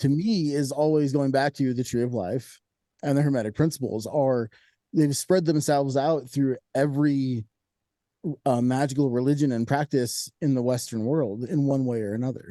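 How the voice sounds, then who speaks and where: His voice has a dark, mellow tone, a fairly high pitch for a man, and ordinary pitch variation. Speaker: podcast host and witchcraft teacher. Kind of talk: casual chat. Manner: fast.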